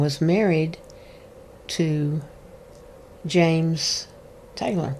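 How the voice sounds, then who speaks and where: With a Tennessee accent, a woman speaks in a very deep, low voice with a dark, mellow tone and fairly even intonation. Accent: Southern US (Tennessee). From East Tennessee. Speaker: backup singer and voice teacher. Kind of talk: interview.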